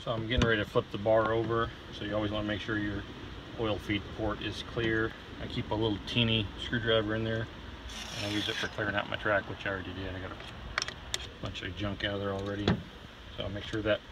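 Speech at a very fast pace comes through with a dry sound and no echo, though there is noticeable background noise. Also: man. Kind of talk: casual vlog chat. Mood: relieved, pleased. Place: open country. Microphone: phone near.

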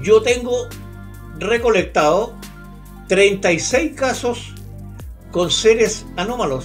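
Faint music plays in the background as the speaker talks at a very slow pace, with lively intonation and long, frequent pauses. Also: man, high pitch for a man. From Concepción, Chile. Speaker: UFO researcher, retired police officer. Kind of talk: interview answer. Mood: calm, storytelling. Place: home room.

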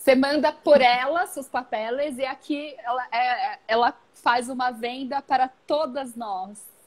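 A woman speaks at a very slow pace with a high pitch. She hardly pauses, and her pitch varies in an ordinary way. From Brazil. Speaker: origami live-stream host. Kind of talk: casual live-stream chat. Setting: Instagram live video. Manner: halting, mixing languages. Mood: cheerful, laughing. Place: home room. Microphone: earbuds.

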